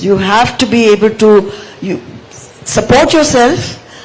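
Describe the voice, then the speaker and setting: Lively intonation marks a woman's fairly high voice, heard with audible room echo and noticeable background noise. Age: 70s. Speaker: author. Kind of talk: panel discussion.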